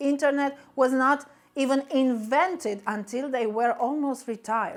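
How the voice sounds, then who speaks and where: A high-pitched woman's voice with a Romanian accent and ordinary pitch variation. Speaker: business coach. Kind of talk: motivational talk.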